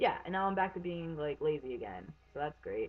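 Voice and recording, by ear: The pace is fairly quick. The intonation is lively.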